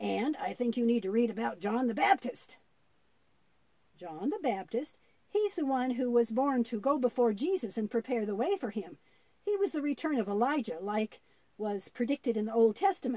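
At a moderate pace, a cartoonish character voice chatters in a fairly high pitch. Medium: puppet show. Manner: gentle, teaching.

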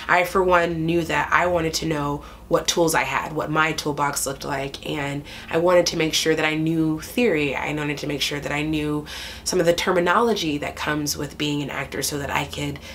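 A woman with a very deep, low pitch speaks at a fairly quick pace and fairly even intonation over light background noise. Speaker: stage actor. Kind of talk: interview answer.

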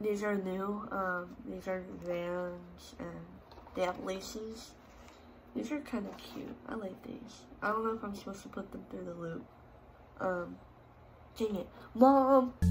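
A woman speaks at a fairly slow pace with ordinary pitch variation and long, frequent pauses. Noticeable background noise runs underneath. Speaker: student vlogger. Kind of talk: casual vlog chat. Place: home room. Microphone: phone near.

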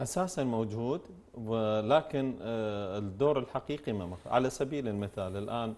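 Speaking in a dark, mellow tone, a man keeps a fairly low pitch. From Iraq. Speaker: member of parliament; talk show guest. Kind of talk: TV talk show debate. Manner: formal. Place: studio. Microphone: lapel.

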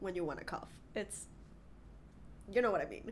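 A woman's nasal, fairly low voice with ordinary pitch variation

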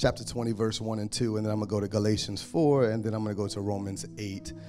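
A man with a fairly low pitch, clear music playing in the background. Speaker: preacher. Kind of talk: sermon. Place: stage. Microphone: handheld.

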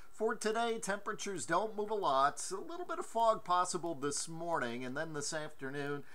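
Relaxed in tone, a man talks at a moderate pace with very wide pitch swings. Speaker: TV meteorologist. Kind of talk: local TV morning weather forecast, scripted-but-conversational walk through maps. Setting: studio. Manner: relaxed, friendly folksy delivery with occasional 'uh' fillers; steady, brisk run-through of temperatures and winds near the end. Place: studio. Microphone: lapel.

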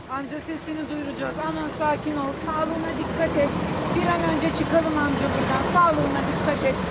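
A woman at a fairly quick pace against loud background noise. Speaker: reporter. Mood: urgent, reassuring. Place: street.

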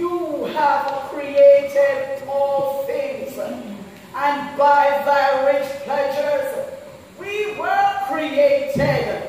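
A woman's high voice at a very slow pace, with ordinary pitch variation, strong room echo and light background noise. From Jamaica. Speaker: church member leading prayer. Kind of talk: fervent congregational prayer, intense and pleading. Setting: church. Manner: impassioned, rhythmic, pleading with exclamations of praise. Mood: earnest, fervent. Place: church. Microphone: camera far.

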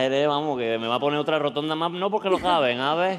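In an Andalusian accent, a man talks at a fairly high pitch with ordinary pitch variation. Light background noise is present. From Andalusia, Spain. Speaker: TV gala host. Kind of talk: comedic live TV banter. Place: hall. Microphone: handheld.

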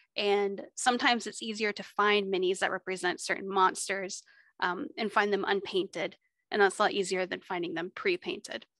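Someone with an American accent speaks at a moderate pace with ordinary pitch variation and a bright, sharp tone, in a dry sound with no echo over a quiet background. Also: woman. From Texas. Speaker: librarian teaching a miniature painting workshop. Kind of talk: tutorial. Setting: video call. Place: home room. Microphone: studio mic.

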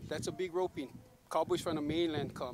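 Over noticeable background noise, a man with a Hawaiian accent speaks at a fairly high pitch in a dry sound with no echo. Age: 40s. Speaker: rodeo cowboy. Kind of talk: casual interview; casual interview answer. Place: open country.

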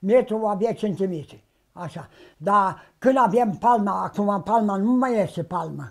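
A man at a high pitch, fairly slow pace and ordinary pitch variation, against a quiet background. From Romania, Bukovina (Suceava county, rural); Romania. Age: 80s+. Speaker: traditional sheepskin coat maker. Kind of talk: interview, life story. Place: home room.

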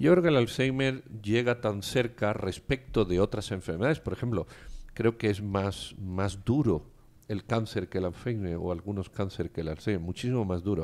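A normal speaking voice from a man, fairly low in pitch, with ordinary pitch variation at a moderate pace, on a very clean recording with a silent background. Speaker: radio talk show host. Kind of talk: casual chat. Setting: studio.

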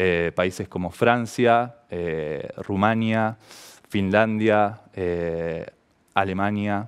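Over a quiet background, a man with a fairly low pitch talks with ordinary pitch variation. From Argentina, Santa Fe province. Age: 30s. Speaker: professional volleyball player; interviewee. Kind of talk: personal testimony to camera. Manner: halting, many fillers. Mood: calm, reflective. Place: studio. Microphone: headset.

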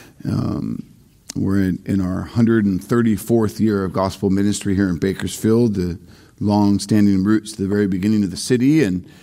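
A man's dark, mellow voice, fairly low-pitched, against a quiet background. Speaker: pastor. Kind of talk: sermon. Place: church.

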